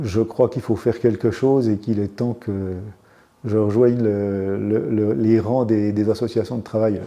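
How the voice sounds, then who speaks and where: A man's fairly low voice in a dark, mellow tone. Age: 70s. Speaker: trade union activist. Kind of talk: interview. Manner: halting, many repetitions and hesitations.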